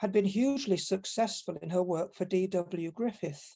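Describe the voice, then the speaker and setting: A woman with a Manchester accent speaks at medium pitch in a dark, mellow tone. Her pitch variation is ordinary, and the background is quiet. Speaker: academic conference panelist. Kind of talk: conference paper reading. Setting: online conference.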